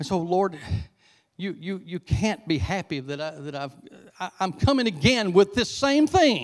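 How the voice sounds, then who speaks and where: A man's high voice with a Southern US accent, very wide pitch swings and big jumps in loudness, at a moderate pace over a quiet background. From US South. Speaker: visiting preacher. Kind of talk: sermon. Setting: church with congregation. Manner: animated; conversational. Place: church. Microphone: handheld.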